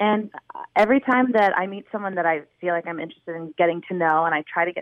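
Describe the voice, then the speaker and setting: At a moderate pace, a woman speaks in a fairly low voice with ordinary pitch variation, an unremarkable speaking voice. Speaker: radio caller seeking dating advice. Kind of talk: call-in advice question. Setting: phone call.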